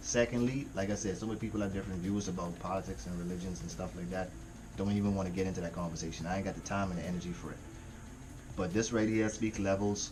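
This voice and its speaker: With audible room echo, a man with a very deep, low pitch talks at a fairly quick pace with ordinary pitch variation. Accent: slight Jamaican. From Caribbean. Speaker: music reaction youtuber. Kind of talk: casual reaction commentary. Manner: animated.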